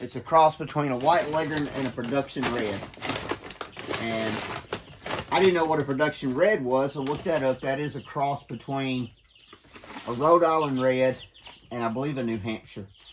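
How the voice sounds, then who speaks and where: A man with a Southern US accent speaks at a moderate pace and a fairly high pitch, with ordinary pitch variation. There are long, frequent pauses and noticeable background noise. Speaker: homesteader. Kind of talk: casual vlog narration. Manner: casual with fillers.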